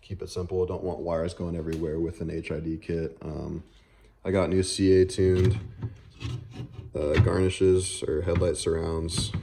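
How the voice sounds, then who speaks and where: Somewhat breathy and monotone, a man speaks in a very deep, low voice with a dark, mellow tone. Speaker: car enthusiast YouTuber. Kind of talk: casual vlog walkthrough. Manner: fast; casual, filler-heavy.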